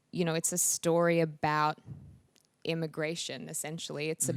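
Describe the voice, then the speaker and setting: Recorded dry and close with no echo, in a very clean recording with a silent background, a woman speaks with an Australian accent. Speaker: actress. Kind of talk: interview answer. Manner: hesitant, casual.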